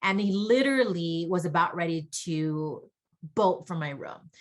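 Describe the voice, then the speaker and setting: She talks at a moderate pace. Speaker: audiologist. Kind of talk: conference lecture. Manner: loud when excited.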